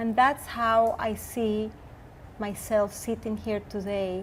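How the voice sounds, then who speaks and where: In a Spanish accent, a woman speaks with a fairly high pitch. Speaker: furniture designer and entrepreneur. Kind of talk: interview. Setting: showroom. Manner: halting.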